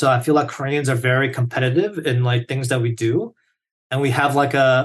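A man's medium-pitched voice comes across somewhat breathy. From South Korea. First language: Korean. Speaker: software engineer. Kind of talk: casual interview. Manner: enthusiastic, filler-heavy.

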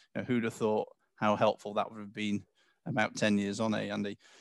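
A man in an English accent at medium pitch and a very fast pace, over a quiet background. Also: dry, close sound with no echo. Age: 40s. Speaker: company CEO. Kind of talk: interview.

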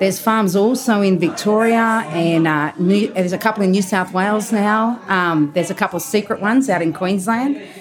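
With an Australian accent, a woman talks at a moderate pace and medium pitch, hardly pausing, with ordinary pitch variation and very even loudness. Noticeable background noise is present. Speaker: truffle and caviar supplier. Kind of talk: casual interview. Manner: animated; halting.

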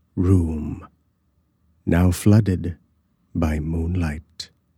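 Somewhat breathy, a man speaks. His tone is dark and mellow. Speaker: audiobook narrator. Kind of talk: scripted horror story narration, reading aloud. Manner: hushed, slow, suspenseful, eerie.

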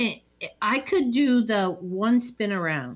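In a very clean recording with a silent background, a woman speaks at a fairly slow pace with very wide pitch swings. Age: 60s. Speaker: podcast host. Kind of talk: casual chat. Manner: chatty, jokey.

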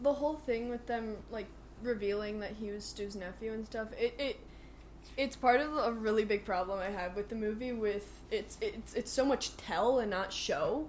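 A fairly high-pitched female voice, moderate tempo and ordinary pitch variation. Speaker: movie podcast co-host. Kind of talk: casual chat. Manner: loud.

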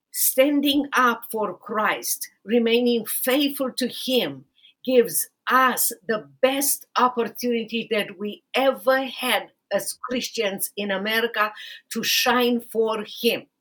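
At a very slow pace, a woman with a Romanian accent talks in a high pitch with ordinary pitch variation. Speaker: podcast host, lawyer and author. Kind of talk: interview podcast.

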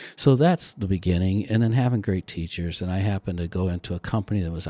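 In a very clean recording with a silent background and a dry, close sound with no echo, the voice races along at a very fast pace in a dark, mellow tone with ordinary pitch variation. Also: man. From US Midwest, South Bend, Indiana. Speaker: state commerce official. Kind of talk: interview.

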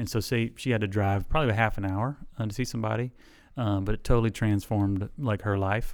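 In a very clean recording with a silent background, a man with a Southern US accent speaks at a very fast pace in a fairly low pitch. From US South (South Alabama). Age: 40s. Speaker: chiropractor. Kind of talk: interview.

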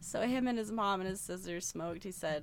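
A woman with a fairly low pitch and vocal fry speaks at a moderate pace with ordinary pitch variation. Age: 20s. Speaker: podcast co-host. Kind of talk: casual chat. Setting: remote recording.

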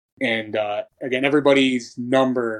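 A man's voice in a monotone, flat intonation. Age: 30s. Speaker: strength and conditioning coach for grappling athletes. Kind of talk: casual interview conversation.

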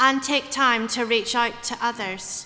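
The speech moves at a fairly slow pace with a monotone, flat intonation. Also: woman. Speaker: lay reader. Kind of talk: reading and leading prayers in a church service.

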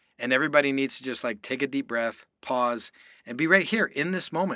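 Speaking at a fairly quick clip, a man with a medium-pitched, bright and sharp voice comes through on a very clean recording with a silent background. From Canada. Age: 40s. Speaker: endurance athlete. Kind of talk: interview. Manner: animated.

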